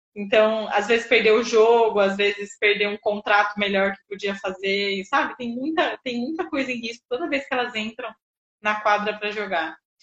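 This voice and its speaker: Her fairly high pitch showing ordinary variation, a woman speaks at a moderate pace in an unremarkable speaking voice. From Jundiaí, São Paulo state, Brazil. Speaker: sports psychologist. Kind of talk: interview conversation.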